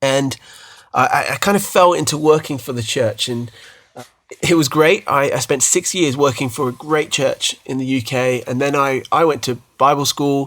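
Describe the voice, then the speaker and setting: A man's fairly high voice with a British accent, at a moderate pace and with ordinary pitch variation. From UK. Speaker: podcast host, former worship pastor. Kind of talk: casual chat. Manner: hesitant, repeats words.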